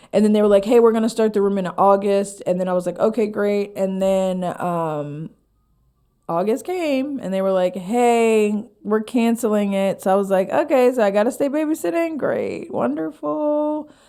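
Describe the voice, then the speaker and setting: With an American accent, a woman talks at a medium pitch, her dark, mellow tone carried by lively intonation. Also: moderate pace. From Pennsylvania (Harrisburg). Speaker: stand-up comedian and comedy writer. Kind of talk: casual podcast interview. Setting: studio. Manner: animated.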